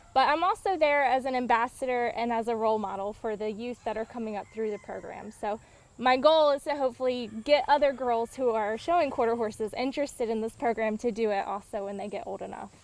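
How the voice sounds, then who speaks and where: With an American accent, a woman speaks at a very fast pace and a fairly high pitch. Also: ordinary pitch variation. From Eastern North Carolina. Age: 20s. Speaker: horse pageant queen. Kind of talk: interview. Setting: outdoors on a farm.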